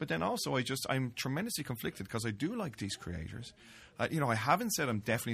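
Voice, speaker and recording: Talking at a very fast pace, a man with an Irish accent uses lively intonation. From Ireland, Dublin. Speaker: fanzine editor and Hugo winner. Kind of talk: casual chat. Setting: studio.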